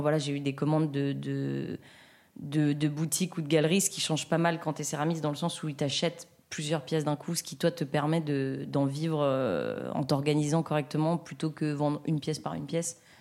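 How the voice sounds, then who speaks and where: A woman with a very deep, low pitch and a dark, mellow tone speaks in a flat monotone on a very clean recording with a silent background. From France, between Lyon and Grenoble. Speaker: ceramic artist. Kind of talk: interview. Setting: ceramics studio. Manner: hesitant, many fillers.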